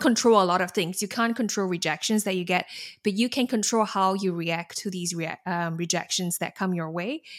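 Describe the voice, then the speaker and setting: With a Singaporean accent, a woman talks at a medium pitch and moderate pace with ordinary pitch variation. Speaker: alumna, learning and development specialist. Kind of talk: interview, casual and conversational.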